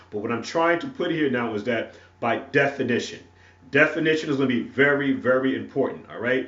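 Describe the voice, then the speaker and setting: Talking at a fairly quick pace with an American accent, a man has a fairly high pitch and ordinary pitch variation. Audible room echo surrounds the voice. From North Carolina (Wilson). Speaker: preacher. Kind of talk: sermon. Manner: halting, many fillers and repetitions.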